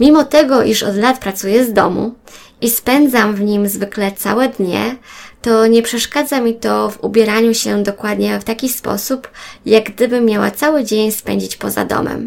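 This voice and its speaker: A woman with a plain, everyday voice speaks at a moderate pace, with a fairly high pitch and fairly even intonation. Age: 30s. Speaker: podcaster. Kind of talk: personal monologue.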